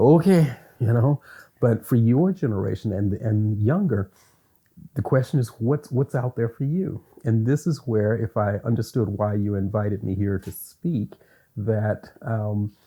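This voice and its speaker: A man with a medium pitch talks at a fairly slow pace, his tone dark and mellow. His voice is somewhat breathy, with ordinary pitch variation. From US South, Louisiana. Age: 60s. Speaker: university lecturer. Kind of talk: interview.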